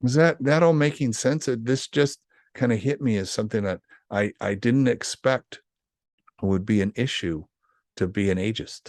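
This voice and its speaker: A man's lively intonation at a moderate pace, broken by long, frequent pauses, in a dry, close sound with no echo. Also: medium pitch for a man, quiet background. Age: 60s. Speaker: podcast co-host. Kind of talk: casual chat. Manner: halting.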